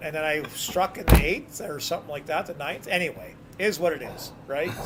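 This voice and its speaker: A man with a Canadian accent, noticeable background noise behind him. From New Brunswick, Canada. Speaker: bowler. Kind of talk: casual chat.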